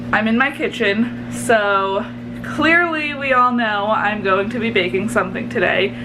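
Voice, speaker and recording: A woman's fairly high voice at a moderate pace with fairly even intonation, amid audible room echo and noticeable background noise. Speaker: baking vlogger. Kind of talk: casual vlog tutorial. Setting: home kitchen. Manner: naturally loud; casual, filler-heavy.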